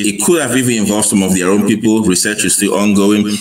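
Audible room echo surrounds a man's fairly low-pitched voice, which shows ordinary pitch variation. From Cameroon. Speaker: army officer and history enthusiast. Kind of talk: interview.

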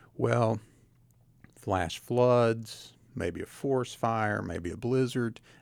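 A man speaks in an Appalachian accent. His pace is very slow. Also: medium pitch for a man, ordinary pitch variation. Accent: Appalachian Southern US. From Southwest Virginia (Tazewell). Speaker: county administrator. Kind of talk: radio interview. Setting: radio studio.

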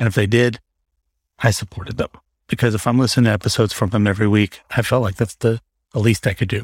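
A man speaks very fast in a fairly low, monotone voice with flat intonation, somewhat breathy, with long, frequent pauses. The sound is dry and close with no echo, on a very clean recording with a silent background. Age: 40s. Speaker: solo podcaster. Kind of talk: casual chat. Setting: home recording with fan in background. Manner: rambling, off the cuff.

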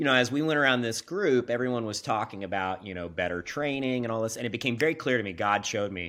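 A man with an American accent, very fast, medium-pitched, bright and sharp in tone, with lively intonation. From US Midwest, Kansas. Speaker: business executive. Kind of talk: casual interview. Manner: animated.

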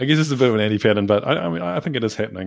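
A man talks at a very fast pace with a fairly low pitch. He has a New Zealand accent. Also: very clean recording, silent background. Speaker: developer advocate. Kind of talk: casual chat.

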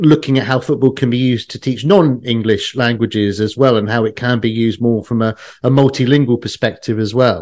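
Someone with a British accent talks at a fairly quick pace against a quiet background. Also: man. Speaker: podcast host. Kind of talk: educational podcast conversation.

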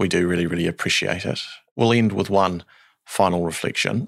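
Very deep and low, this man's voice carries a New Zealand accent with fairly even intonation. The recording is very clean, with a silent background. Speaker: podcast host. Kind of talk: interview.

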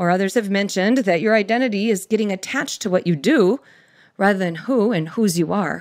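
Lively intonation runs through an unremarkable speaking voice delivered at a fairly quick pace. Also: woman. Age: 50s. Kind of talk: faith-based storytelling and teaching.

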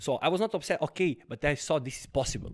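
A man with a Serbian accent talks at a fairly quick pace. The recording is very clean, with a silent background. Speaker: karate champion and fitness company CEO. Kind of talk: casual interview chat.

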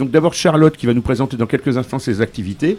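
With an ordinary speaking voice, this man holds a medium pitch and shows ordinary pitch variation. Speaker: radio host. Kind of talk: casual chat.

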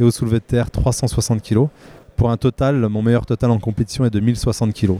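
Monotone, flat intonation marks this man's speech, which has a dark, mellow tone at a medium pitch. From Vosges, eastern France. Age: 30s. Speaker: non-destructive testing technician and powerlifter. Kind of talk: trade-show interview. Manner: hesitant, with fillers.

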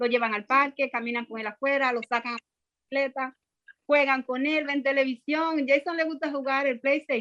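A woman speaks at a high pitch and a moderate pace, with fairly even intonation. Her loudness swings widely, and the sound is dry and close with no echo. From Dominican Republic, Santo Domingo. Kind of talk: testimony.

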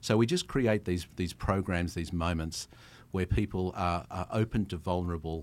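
A man with an Australian accent speaks at a moderate pace with a very deep, low pitch in a very clean recording with a silent background. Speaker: travel company founder. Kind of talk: casual interview chat. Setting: studio.

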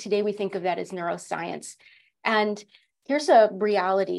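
Vocal fry in a woman's voice of medium pitch, at a moderate pace. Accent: American. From Connecticut, US. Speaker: leadership coach and executive. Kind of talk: interview.

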